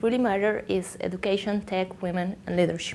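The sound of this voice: With a Colombian accent, this woman talks with little pitch movement.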